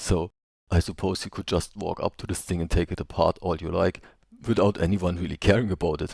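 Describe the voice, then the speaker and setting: Speaking with a non-native accent, a man with a very deep, low pitch goes at a fairly quick pace with fairly even intonation, the sound dry and close with no echo. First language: not English. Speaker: travel video narrator. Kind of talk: unscripted voice-over commentary.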